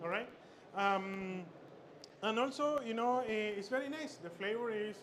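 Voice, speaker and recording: A man talks at a moderate pace in a high pitch with ordinary pitch variation, over noticeable background noise and audible room echo. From Chile. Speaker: chef instructor. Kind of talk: cooking demonstration. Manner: halting, many fillers and repetitions.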